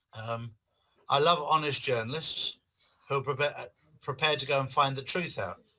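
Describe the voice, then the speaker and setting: With an English accent, a man speaks at a moderate pace in a bright, sharp tone, his fairly high pitch held to fairly even intonation and broken by long, frequent pauses. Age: 60s. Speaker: author and activist. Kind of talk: interview.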